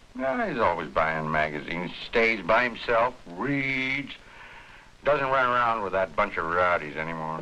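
A man with a fairly low pitch at a moderate pace, a normal speaking voice. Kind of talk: acted drama dialogue. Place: shop. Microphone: old recording.

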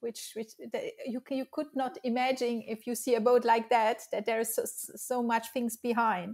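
Here a woman speaks in a French accent at a high pitch. The background is quiet. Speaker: interviewer. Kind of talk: interview; scripted introduction. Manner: halting. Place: home room. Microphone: webcam.

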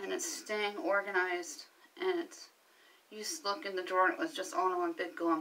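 At a moderate pace, a woman is talking. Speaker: home organizing vlogger. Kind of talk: casual vlog chat. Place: home room. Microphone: phone near.

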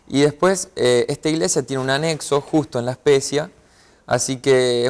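With fairly even intonation, a man delivers his words at a moderate speed. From Rosario, Argentina; Argentina. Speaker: professional footballer; interview guest. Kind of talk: interview. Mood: warm, reflective about faith. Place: studio.

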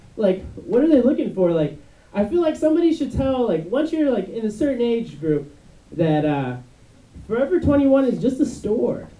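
A man talks at a moderate pace with a dark, mellow tone and an extremely high pitch that swings very widely. Room echo is audible. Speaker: stand-up comedian. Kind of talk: stand-up comedy routine. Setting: stage, comedy club. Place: stage.

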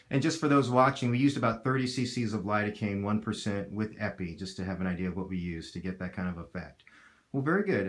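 The setting is quiet. A man speaks very rapidly. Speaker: doctor. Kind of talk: patient interview questions. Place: office.

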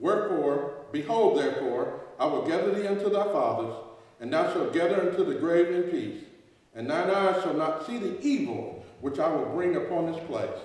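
A man talks at a moderate pace with very wide pitch swings. Strong room echo surrounds his voice. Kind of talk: sermon. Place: church. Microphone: podium.

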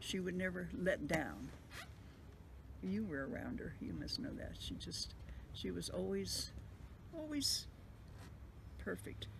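A woman speaks at a fairly slow pace, pausing long and often, with noticeable background noise. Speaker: interviewee recalling family memories. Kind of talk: interview answer. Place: home room.

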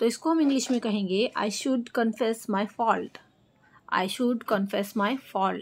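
A normal speaking voice with ordinary pitch variation. The recording is very clean, with a silent background. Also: woman. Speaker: English teacher. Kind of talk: tutorial.

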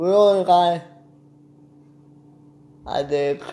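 A man speaks with a dark, mellow tone. His pitch sits fairly high.

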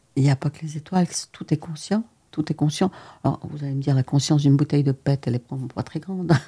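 Against a quiet background, a woman speaks at a very fast pace in a very deep, low, somewhat breathy voice with a dark, mellow tone and ordinary pitch variation. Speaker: physician; interview guest. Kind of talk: interview. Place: studio. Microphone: studio mic.

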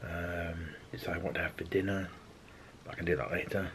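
Over light background noise, a man speaks fairly slowly in a very deep, low voice. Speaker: vlogger. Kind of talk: casual vlog chat. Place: home room.

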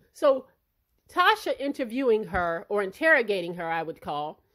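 Pitch swings very widely at a moderate pace. The recording is very clean, with a silent background. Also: woman. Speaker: commentary vlogger. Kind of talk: angry rant. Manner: indignant, emphatic.

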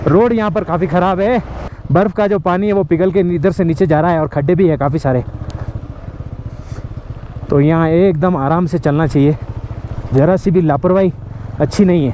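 Under light background noise, a man with a high pitch and ordinary pitch variation speaks at a moderate pace with long, frequent pauses and very even loudness, the sound dry with no echo. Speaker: travel vlogger. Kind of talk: casual vlog chat. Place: open country. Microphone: phone near.

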